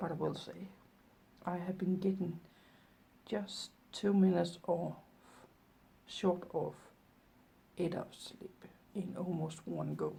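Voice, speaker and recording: A soft-spoken woman at a very slow pace. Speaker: vlogger and artist. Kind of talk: casual vlog.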